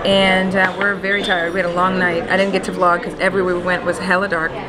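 A woman is speaking. Crowd noise can be heard behind her. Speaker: vlogger. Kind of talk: casual vlog chat. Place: cafe. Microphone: phone near.

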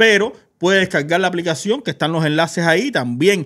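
In a quiet background, a man speaks at a moderate pace in a high pitch. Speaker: gossip show host. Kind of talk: casual chat, entertainment news. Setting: studio, live stream. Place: studio. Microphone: studio mic.

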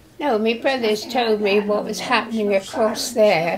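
Her pitch shifts in an ordinary way. The woman's delivery is very slow. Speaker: care home resident. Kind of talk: personal wartime reminiscence.

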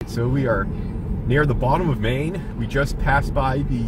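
Over loud background noise, a man talks at a moderate pace, the sound dry with no echo. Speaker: vlogger. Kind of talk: casual vlog chat. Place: car.

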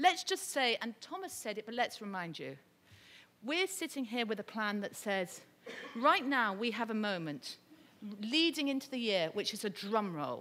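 A woman with a British accent talks at a moderate pace in a fairly high pitch. Her bright, sharp tone rises and falls in very wide swings. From Britain. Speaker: UN development advisor; speaker. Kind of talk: conference panel talk. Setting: stage with audience. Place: hall. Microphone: podium.

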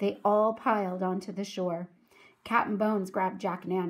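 Read in a natural reading voice, the lines keep a fairly even intonation.

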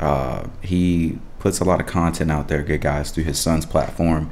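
A man's very deep, low voice in a flat monotone. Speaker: reaction video host. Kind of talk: casual vlog chat. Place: home room.

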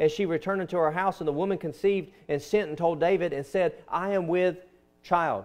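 A man speaks at a fairly quick pace in a high voice. His intonation is fairly even against a quiet background. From US South. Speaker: pastor. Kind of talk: sermon. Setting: church. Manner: earnest, conversational preaching. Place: church.

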